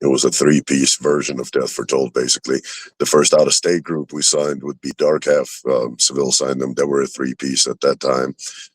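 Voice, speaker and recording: A man speaks at a fairly quick pace with a Russian accent, his voice dry and close with no echo. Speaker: rapper and record label co-founder. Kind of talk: interview. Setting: live stream. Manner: casual, profane.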